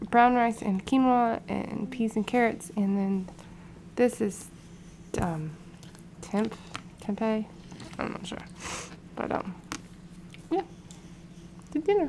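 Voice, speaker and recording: With noticeable background noise, a woman speaks at a very slow pace, her pitch varying in an ordinary way and her speech broken by long, frequent pauses. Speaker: mother vlogger. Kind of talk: casual vlog chat. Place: home room. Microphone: phone near.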